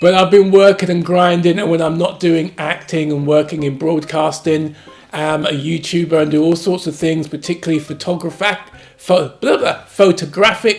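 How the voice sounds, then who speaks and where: With music in the background, a man with a London accent talks at a moderate pace in a high pitch. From London, England. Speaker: actor and family YouTuber. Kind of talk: casual family vlog introduction. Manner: animated.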